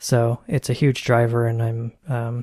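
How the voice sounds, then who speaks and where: The voice has a dark, mellow tone and is somewhat breathy, with a dry, close sound and no echo. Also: man. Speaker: podcast co-host, software developer. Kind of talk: casual tech discussion. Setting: home desk setup, Skype call.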